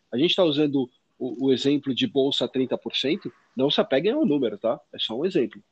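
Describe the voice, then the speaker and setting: A man with a plain, everyday voice, fairly high-pitched, with lively intonation at a moderate pace, in a dry, close sound with no echo. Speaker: finance podcast co-host. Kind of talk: casual explanatory chat.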